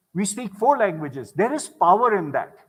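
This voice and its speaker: On a very clean recording with a silent background, a man speaks at a moderate pace. His voice is high-pitched, with very wide pitch swings. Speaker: conference speaker. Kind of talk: keynote talk. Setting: stage with audience.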